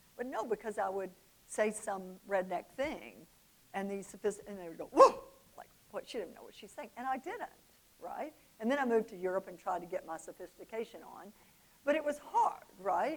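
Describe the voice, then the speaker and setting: A woman in a Southern US accent talks at a moderate pace with a fairly high pitch and an animated tone. Her lively intonation comes with big swings in loudness. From US South, Oxford, Mississippi. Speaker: business speaker. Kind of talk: motivational talk.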